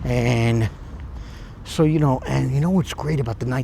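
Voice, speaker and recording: A man whispering, quiet. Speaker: YouTuber vlogger. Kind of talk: casual vlog monologue. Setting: outdoors at night. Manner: whispering, hushed; hesitant, many fillers.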